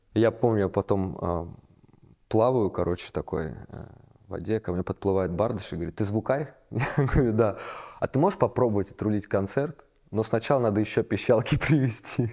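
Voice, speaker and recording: At a moderate pace, the voice has a dark, mellow tone with ordinary pitch variation and long, frequent pauses. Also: man, fairly low pitch for a man. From Moscow region, Russia. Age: 30s. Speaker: sound engineer and musician. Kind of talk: casual interview. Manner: halting.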